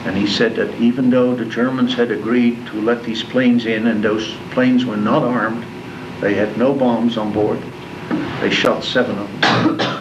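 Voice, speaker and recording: A man with a Dutch accent speaks at a moderate pace and medium pitch. Audible room echo and noticeable background noise are present. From Netherlands, Rotterdam. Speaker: war survivor. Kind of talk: talk to school class. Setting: classroom.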